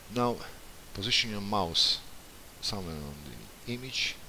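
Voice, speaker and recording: At a fairly slow pace, a man with a non-native accent talks in a very deep, low pitch. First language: not English. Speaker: software developer. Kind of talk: tutorial. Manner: halting.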